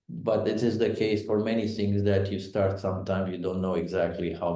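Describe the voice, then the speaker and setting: A man's dark, mellow, somewhat breathy voice with fairly even intonation and audible room echo. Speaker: think tank director hosting a webinar. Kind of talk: webinar moderation. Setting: online webinar. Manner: halting, many fillers.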